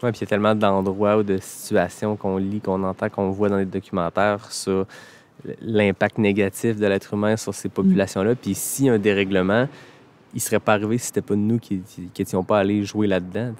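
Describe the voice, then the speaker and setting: The speech runs at a fairly quick pace in a monotone, flat intonation, with a dry, close sound and no echo. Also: man, fairly low pitch for a man. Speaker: podcast host. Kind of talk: casual podcast conversation.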